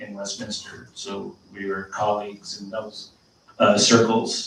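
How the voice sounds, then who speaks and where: The speaker has an American accent and a moderate pace. Noticeable background noise is present. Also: man. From Southern California, Orange County. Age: 50s. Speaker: city manager. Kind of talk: public speech at community meeting. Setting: virtual community meeting. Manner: halting, many fillers.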